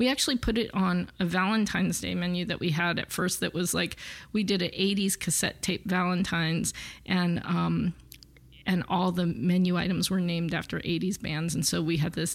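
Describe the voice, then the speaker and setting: This woman speaks with an American accent, a fairly low pitch, vocal fry and fairly even intonation. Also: very clean recording, silent background. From Los Angeles, US. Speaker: chef. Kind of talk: interview.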